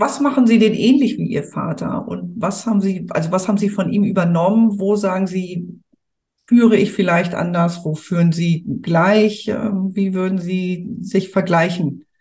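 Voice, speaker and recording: A woman's normal speaking voice, medium in pitch, with ordinary pitch variation and a fairly slow pace. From Hamburg, northern Germany. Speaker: podcast host, family business consultant. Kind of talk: interview.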